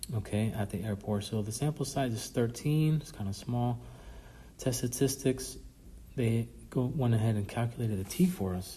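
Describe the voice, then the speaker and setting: A somewhat breathy, dark, mellow voice moves at a moderate pace with ordinary pitch variation, and audible echo fills the room. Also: man, medium pitch for a man. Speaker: statistics professor. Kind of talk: recorded lecture review.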